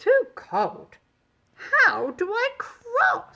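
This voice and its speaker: A squeaky put-on character voice at an extremely high pitch, delivered in a sing-song way. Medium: read story. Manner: giggly, sing-song.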